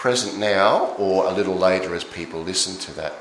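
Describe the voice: Strong room echo surrounds a man talking at a moderate pace.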